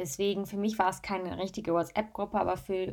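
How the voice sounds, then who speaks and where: This woman has an ordinary speaking voice at a medium pitch, talking at a fairly quick pace on a very clean recording with a silent background. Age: 20s. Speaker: influencer and podcaster. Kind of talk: solo podcast monologue. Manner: casual, chatty.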